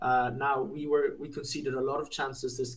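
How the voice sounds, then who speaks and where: This man talks at a moderate pace with a medium pitch and a somewhat breathy sound. His intonation is monotone and flat. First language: not English. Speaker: football podcast co-host. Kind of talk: casual chat.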